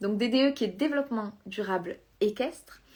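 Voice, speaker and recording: A woman speaks with lively intonation in a fairly high pitch. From southern France. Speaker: equestrian business coach. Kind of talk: live stream talk. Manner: hesitant, many fillers.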